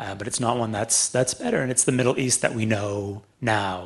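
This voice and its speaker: A man with a Canadian accent talks at a fairly quick pace in a fairly low, somewhat breathy voice. His pitch variation is ordinary, and the background is quiet. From Canada, Toronto. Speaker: author and former journalist. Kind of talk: public talk.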